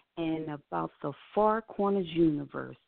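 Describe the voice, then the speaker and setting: This woman talks at a fairly slow pace with ordinary pitch variation. She has a normal speaking voice. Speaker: radio producer. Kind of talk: radio hosting.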